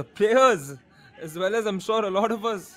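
A man is speaking. His tone is animated. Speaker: football commentator. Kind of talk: live football match commentary. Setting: broadcast commentary over match footage. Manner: animated, play-by-play delivery in short clipped bursts.

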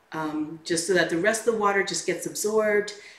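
A woman speaks at a moderate pace with ordinary pitch variation. Light background noise and audible room echo are present. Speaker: home cooking host. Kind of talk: tutorial. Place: kitchen.

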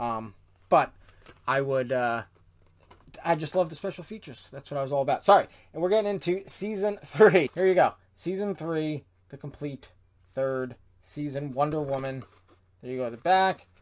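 Lively intonation and big swings in loudness mark this man's fairly high voice, delivered at a moderate pace with long, frequent pauses. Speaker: YouTube host reviewing DVD sets. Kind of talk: product review video. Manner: casual and conversational. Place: home room.

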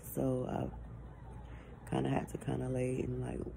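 A woman's voice amid noticeable background noise. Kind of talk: casual vlog chat. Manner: drowsy, low, slow speech lying down. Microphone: phone near.

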